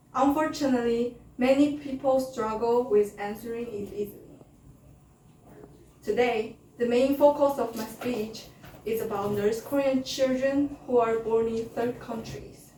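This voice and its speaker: A woman's high voice at a fairly slow pace with fairly even intonation, music playing in the background. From China (born to North Korean parents). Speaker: North Korean refugee speaker. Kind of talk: prepared speech in English.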